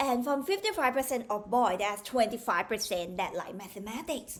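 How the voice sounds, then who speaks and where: A woman speaks with a Thai accent in a fairly high pitch. Her tone is animated and her intonation lively. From Thailand. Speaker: maths tutor. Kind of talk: tutorial.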